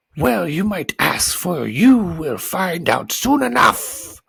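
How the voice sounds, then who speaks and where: Putting on a character voice, a man speaks very slowly at a fairly high pitch with very wide pitch swings. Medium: read story. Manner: loud, blustering.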